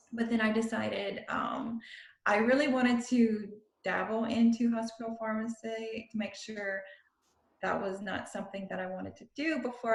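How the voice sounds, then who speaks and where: At a moderate pace, a woman talks in a somewhat breathy, fairly high voice whose pitch varies in an ordinary way. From South Louisiana, Cajun country. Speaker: pharmacist and style coach. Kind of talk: podcast interview.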